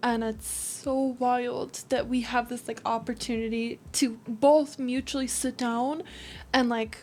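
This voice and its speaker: A high-pitched woman with an American accent and monotone, flat intonation. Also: fairly slow pace. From California. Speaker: vlogger and streamer. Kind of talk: casual chat. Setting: at home before bed with face masks.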